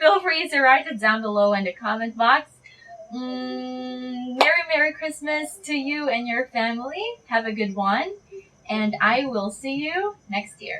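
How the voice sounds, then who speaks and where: A woman's high-pitched voice, fairly slow and lively in intonation, over noticeable background noise. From Philippines. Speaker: beauty vlogger. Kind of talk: casual vlog outro. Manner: hesitant, with fillers.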